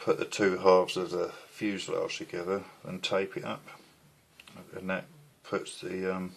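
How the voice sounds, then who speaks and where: A soft-spoken man talks at a fairly slow pace, with long, frequent pauses. His loudness rises and falls in big swings. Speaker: scale model builder. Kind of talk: tutorial.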